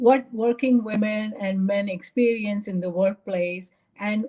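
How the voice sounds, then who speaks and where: A woman speaks in a Tamil accent with a dark, mellow tone and a fairly high pitch. Her delivery is fairly slow and somewhat breathy. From India, Bombay. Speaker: retired pharma quality executive, speaker. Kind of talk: presentation talk.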